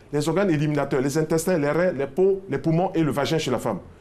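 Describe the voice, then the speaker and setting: A man's plain, everyday voice, fairly high in pitch, at a fairly quick pace. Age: 60s. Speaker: health expert. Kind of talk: TV health interview.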